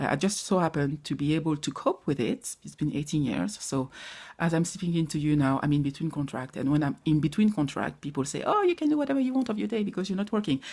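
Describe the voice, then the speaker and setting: A woman's very deep, low voice in a dark, mellow tone, with a French accent, very wide pitch swings and a very fast pace, on a very clean recording with a silent background. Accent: non-native English, French. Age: 40s. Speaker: vlogger sharing personal grief recovery. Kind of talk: personal vlog, motivational talk. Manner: halting.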